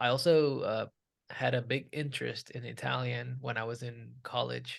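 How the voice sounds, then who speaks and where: Speaking at a moderate pace, a man talks in a Puerto Rican accent. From Puerto Rico. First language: Spanish. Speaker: beer writer. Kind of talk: panel discussion.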